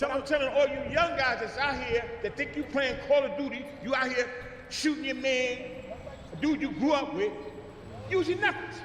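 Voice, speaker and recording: A man at an extremely high pitch, moderate pace and ordinary pitch variation, with long, frequent pauses and noticeable background noise. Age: 60s. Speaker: former gang leader, bodyguard. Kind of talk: motivational outreach talk to youth. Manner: animated.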